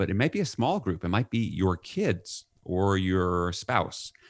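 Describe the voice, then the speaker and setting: In a plain, everyday voice with an American accent, a man speaks at a moderate pace and fairly low pitch with ordinary pitch variation, in a dry, close sound with no echo on a very clean recording with a silent background. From New York. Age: 50s. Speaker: leadership author and consultant. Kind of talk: podcast interview.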